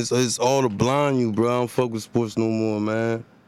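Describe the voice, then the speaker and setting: This man speaks with a New Jersey accent at a moderate pace. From Elizabeth, New Jersey, Haitian family. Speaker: rapper. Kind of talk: casual chat.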